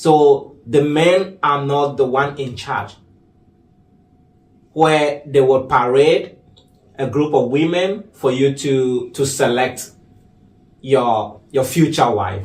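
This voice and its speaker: Very slow, with long, frequent pauses, a man speaks at a fairly high pitch, somewhat breathy, with ordinary pitch variation and audible room echo. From Ghana. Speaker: artist and activist. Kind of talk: interview.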